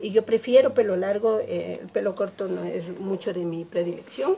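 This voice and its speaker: A woman's dark, mellow tone at a fairly slow pace. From Ecuador, Quito; Ecuador. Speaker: painting teacher. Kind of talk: live tutorial. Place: home room. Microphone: phone near.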